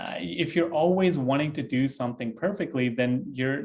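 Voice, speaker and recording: With a non-native accent, a man talks at a moderate pace in a fairly high pitch and ordinary pitch variation. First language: not English. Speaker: developer advocate and tech video creator. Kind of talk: podcast interview. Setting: home office studio.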